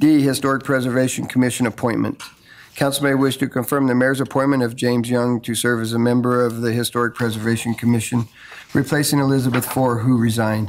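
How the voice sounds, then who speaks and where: A man speaks with monotone, flat intonation. Light background noise runs underneath. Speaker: council official reading agenda. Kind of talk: formal agenda reading. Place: hall. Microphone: podium.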